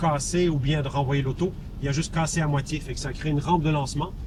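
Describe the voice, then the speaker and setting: A man talks very fast at a fairly high pitch, his intonation monotone and flat. Audible room echo and noticeable background noise fill the recording. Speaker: rally organizer. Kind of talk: on-location TV interview.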